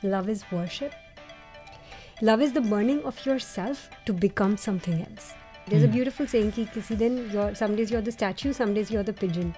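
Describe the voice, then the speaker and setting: With music in the background, a woman speaks at medium pitch, her loudness swinging widely. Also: ordinary pitch variation. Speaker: radio jockey. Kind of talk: interview answer.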